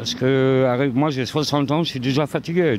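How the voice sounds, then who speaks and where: Fairly even intonation marks a man's voice at a medium pitch. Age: 60s. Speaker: passer-by in street interview. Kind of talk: street interview.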